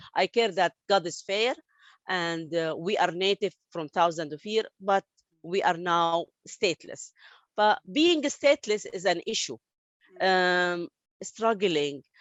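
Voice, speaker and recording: A woman with an Arabic accent speaks at a very slow pace and medium pitch, with ordinary pitch variation. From Saudi Arabia, Palestinian family. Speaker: interviewee, refugee story. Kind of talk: interview testimony. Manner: halting, many fillers and restarts.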